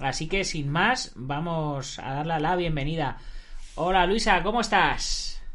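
Talking at a very slow pace, a man with a high pitch and a bright, sharp tone uses ordinary pitch variation amid audible room echo. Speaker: martial arts podcast host. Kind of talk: interview.

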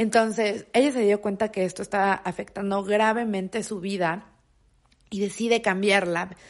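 In a quiet background, a woman with a Mexican accent speaks in an animated tone. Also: medium pitch for a woman, moderate pace. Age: 20s. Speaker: podcast host. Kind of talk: casual monologue.

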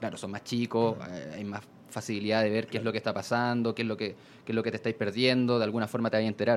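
In a Chilean accent, a man rattles along at a very fast pace, his medium-pitched voice monotone and flat. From southern Chile, La Unión. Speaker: hip hop blogger. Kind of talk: casual chat.

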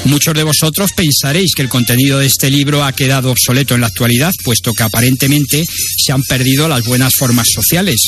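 Over music in the background, a man talks very fast at a medium pitch, with ordinary pitch variation and very even loudness. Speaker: radio host. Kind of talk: radio book review with passages read aloud. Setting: radio studio. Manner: formal, measured, literary reading pace; even and didactic, like reading an essay.

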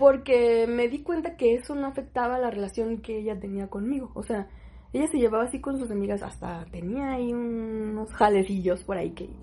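A woman's dark, mellow tone at a fairly high pitch and a moderate pace. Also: ordinary pitch variation. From Mexico, Sonora (Hermosillo). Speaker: podcast co-host. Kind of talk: casual chat.

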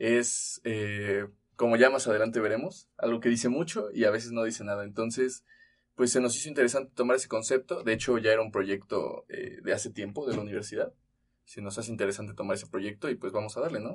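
A normal speaking voice at a fairly quick pace, with ordinary pitch variation over a quiet background. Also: man, medium pitch for a man. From Mexico, Tlaxcala. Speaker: university student podcast co-host. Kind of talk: casual chat.

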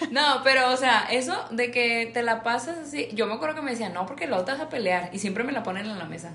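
A woman's fairly high, lively voice at a fairly quick pace with hardly any pauses, over noticeable background noise. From Monterrey, Mexico. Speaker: podcast co-host. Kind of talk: casual chat. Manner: animated, frequent laughter.

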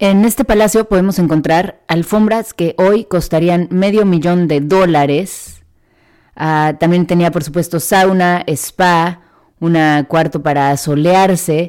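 A woman's fairly low voice at a very slow pace, very even in loudness, on a very clean recording with a silent background. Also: ordinary pitch variation. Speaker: travel podcast host. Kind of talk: scripted narration.

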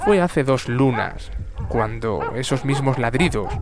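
A man with a solemn tone speaks at a fairly slow pace with ordinary pitch variation amid noticeable background noise. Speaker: narrator. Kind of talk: scripted bedtime-style nature story narration. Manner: solemn, tender, reflective tone.

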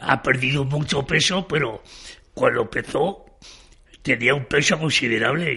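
Speaking at a fairly slow pace, a man has a bright, sharp tone at a medium pitch with ordinary pitch variation. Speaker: retired shop manager. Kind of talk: interview testimony. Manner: halting.

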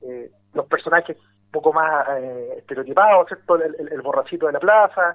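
At a moderate pace, a man with a high pitch and ordinary pitch variation talks with big swings in loudness. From Chile, Valparaíso region. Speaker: writer. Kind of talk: radio interview. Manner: halting, many repetitions and fillers.

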